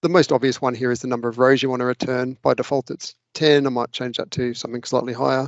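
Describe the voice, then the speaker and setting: This man talks at a medium pitch with an Australian accent. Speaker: local government data analyst. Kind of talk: screen-share tutorial. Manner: fast.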